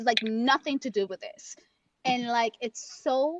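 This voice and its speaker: With a Spanish accent, the speaker uses an animated tone at a moderate pace with ordinary pitch variation, in a dry, close sound with no echo. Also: woman. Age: 30s. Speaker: audiobook narrator. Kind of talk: casual chat. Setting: live stream.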